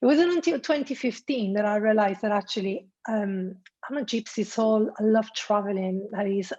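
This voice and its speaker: Spoken at a moderate pace with an Italian accent, the voice shows ordinary pitch variation. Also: woman. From Italy. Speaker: destination wedding planner. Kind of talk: interview.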